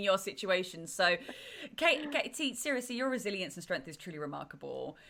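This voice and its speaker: A woman speaks in an English accent at a medium pitch. Her pitch swings very widely. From England. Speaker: podcast host. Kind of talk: interview.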